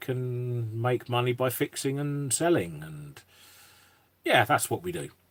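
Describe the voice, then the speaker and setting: The speaker has an East Midlands accent and talks at a fairly slow pace with ordinary pitch variation. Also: man. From England, Northampton. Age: 50s. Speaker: YouTuber and electronics repairer. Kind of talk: casual live-stream chat.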